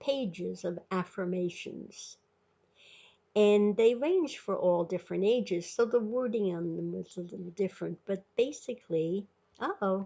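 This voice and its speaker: At a fairly slow pace, a woman speaks with a medium pitch and a dark, mellow tone. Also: quiet background. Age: 80s+. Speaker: video blogger. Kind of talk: informal talk to camera. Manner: halting.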